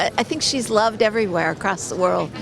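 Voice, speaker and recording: With an American accent, a woman speaks at a fairly high pitch with ordinary pitch variation against noticeable background noise. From United States. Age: 70s. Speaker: tourist interviewed on the street. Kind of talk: vox pop interview.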